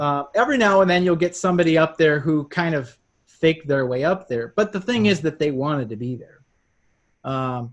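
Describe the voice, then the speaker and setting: This man talks at a fairly quick pace in a fairly high pitch, with ordinary pitch variation. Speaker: hypnotherapist. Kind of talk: interview answer.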